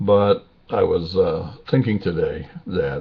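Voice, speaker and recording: Rather slowly, a man talks as clearly audible noise runs in the background. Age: 60s. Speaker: video blogger. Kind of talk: casual personal video monologue. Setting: webcam recording. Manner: halting, many fillers.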